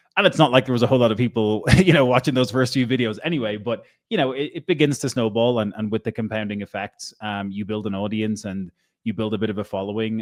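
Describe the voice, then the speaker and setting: Speaking very fast in an Irish accent, a man holds a medium pitch with ordinary pitch variation. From Ireland. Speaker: crypto content creator. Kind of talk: interview answer.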